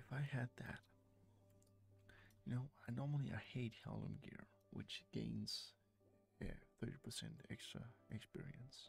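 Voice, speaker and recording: With music in the background and a dry sound with no echo, a man speaks at a very slow pace, leaving long, frequent pauses. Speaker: game streamer. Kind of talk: casual talk to camera. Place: home room. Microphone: studio mic.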